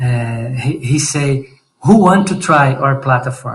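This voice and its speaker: Speaking in a Portuguese accent, a man has a fairly high pitch. He talks at a very slow pace. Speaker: startup founder. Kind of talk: pitch presentation. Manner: halting.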